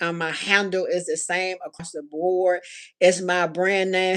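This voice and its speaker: A medium-pitched woman with a Southern US accent speaks at a fairly slow pace in a very clean recording with a silent background. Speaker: handcrafted accessories designer and small business owner. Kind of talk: live stream vlog talk to viewers. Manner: casual, hesitant with fillers; Southern slur per husband.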